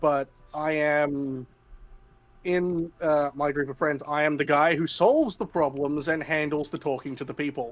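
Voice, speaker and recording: A man's fairly high voice with an Australian accent and fairly even intonation. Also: moderate pace. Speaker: tabletop game player. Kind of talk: casual chat. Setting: live stream.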